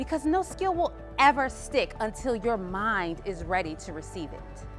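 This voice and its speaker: Music is heard in the background. Over it, a woman talks. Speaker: keynote speaker, sales strategist. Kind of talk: keynote speech to an audience.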